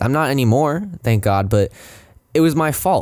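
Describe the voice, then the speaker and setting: Speaking at a moderate pace, a man uses lively intonation. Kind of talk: casual podcast talk. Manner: rambling, many filler words.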